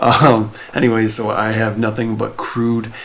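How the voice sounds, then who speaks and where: Soft-spoken, a man talks at a medium pitch. Noticeable background noise and audible room echo surround his voice. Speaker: lawn care vlogger. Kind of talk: casual tutorial. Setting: indoors at home. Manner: soft-spoken, talking quietly; hesitant, many fillers.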